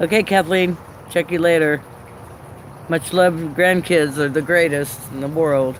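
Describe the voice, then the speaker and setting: Pitched fairly high, a man speaks slowly with fairly even intonation and long, frequent pauses. Noticeable background noise runs behind him. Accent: American. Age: 60s. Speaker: live streamer. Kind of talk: casual chat. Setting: live stream. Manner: halting.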